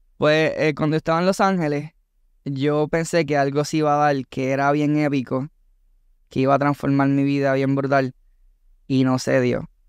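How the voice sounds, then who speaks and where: A man with a Puerto Rican accent talks at a fairly high pitch, monotone and flat, with very even loudness. Long, frequent pauses break up his speech, and the sound is dry with no echo against a quiet background. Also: moderate pace. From Puerto Rico. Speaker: content creator and entertainer; content creator. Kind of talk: casual chat. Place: studio. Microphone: studio mic.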